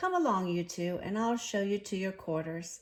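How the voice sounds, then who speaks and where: A woman puts on a gruff character voice at a medium pitch. She speaks at a moderate pace. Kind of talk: bedtime story. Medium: read story.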